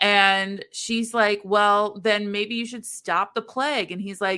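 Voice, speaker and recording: The recording is very clean, with a silent background. A woman at medium pitch speaks at a fairly slow pace in a bright, sharp tone. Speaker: podcast co-host. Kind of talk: casual chat summarizing a book. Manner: stumbles over quotes; animated.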